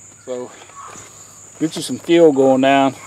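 A man at a moderate pace with fairly even intonation, dry with no echo. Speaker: tractor owner explaining repair. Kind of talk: tutorial. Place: farm machine. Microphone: phone near.

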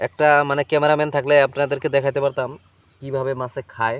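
A man speaks at medium pitch with monotone, flat intonation. The sound is dry and close, with no echo. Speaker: fishing vlogger. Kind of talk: outdoor vlog narration. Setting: outdoors in a flooded field.

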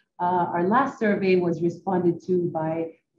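The voice is somewhat breathy. Noticeable background noise can be heard. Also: woman. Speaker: presenter. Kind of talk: presentation. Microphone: video call.

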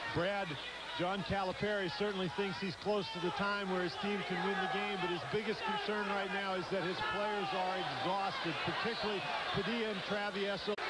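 Projecting a raised voice over noticeable background noise, a man speaks at a high pitch with monotone, flat intonation and very even loudness. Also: moderate pace. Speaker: sideline reporter. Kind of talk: live sideline report.

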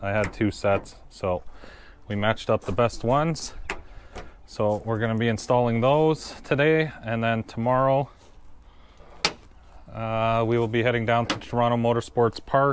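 With noticeable background noise but a dry sound with no echo, a man speaks at a moderate pace with long, frequent pauses. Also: fairly even intonation. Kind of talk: casual vlog chat. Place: street. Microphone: phone near.

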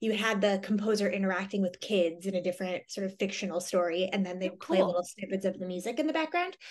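A woman talks at a very fast pace. Her pitch variation is ordinary. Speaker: guest. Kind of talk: interview answer. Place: home room. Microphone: video call.

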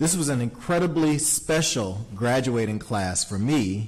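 A somewhat breathy man speaks at a fairly slow pace with lively intonation. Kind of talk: formal meeting remarks. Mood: proud, warm. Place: meeting room. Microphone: podium.

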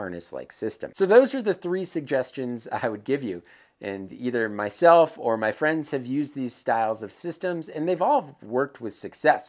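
The speech moves at a moderate pace with hardly any pauses against a quiet background. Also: man. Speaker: presenter. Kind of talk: tutorial. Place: workshop. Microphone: lapel.

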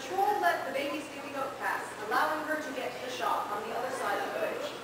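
Talking at a fairly quick pace, a woman uses a high pitch with very wide swings. Strong room echo and noticeable background noise fill the recording. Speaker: storyteller / narrator on a live radio panel. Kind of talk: fairy-tale narration. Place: hall. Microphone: camera far.

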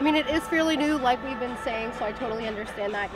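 A woman at a very fast pace, with loud background noise. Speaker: sports interviewer, podcast host. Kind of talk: interview questions. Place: stadium.

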